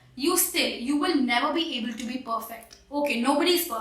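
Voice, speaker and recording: In a room with audible echo and noticeable background noise, a woman speaks in a raised, projected voice, high-pitched and fairly quick, with ordinary pitch variation. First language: Hindi. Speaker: English teacher. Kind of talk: tutorial.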